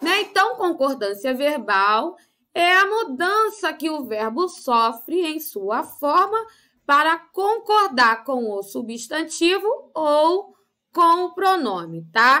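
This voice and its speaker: Against a quiet background, a raised, projected voice with a bright, sharp tone moves very slowly through very wide pitch swings. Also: woman, high pitch for a woman. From Brazil. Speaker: primary school teacher. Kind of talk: lesson for children. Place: home room.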